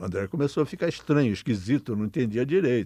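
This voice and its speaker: A man speaks at medium pitch in a dark, mellow tone, with very wide pitch swings. The background is quiet. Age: 80s+. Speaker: mental health activist. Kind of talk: interview testimony. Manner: halting, repeats words.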